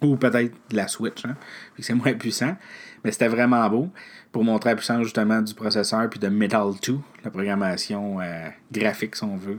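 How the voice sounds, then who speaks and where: A man with a Quebec accent speaks at a moderate pace and medium pitch, with ordinary pitch variation and long, frequent pauses. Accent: Québécois French. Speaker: podcast host. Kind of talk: solo tech news recap. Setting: alone at a microphone. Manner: hesitant, many filler sounds.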